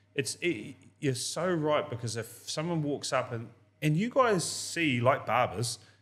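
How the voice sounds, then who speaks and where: A man speaks at a fairly slow pace with a New Zealand accent. His pitch is fairly high, and his intonation is lively. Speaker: podcast host. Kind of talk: casual interview chat. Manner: loud.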